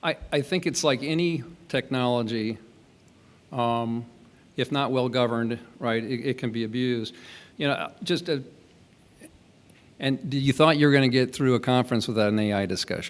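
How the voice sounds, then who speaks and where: Here a man talks at a moderate pace with long, frequent pauses. His medium pitch shows ordinary variation. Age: 60s. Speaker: cybersecurity panelist. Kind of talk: panel discussion.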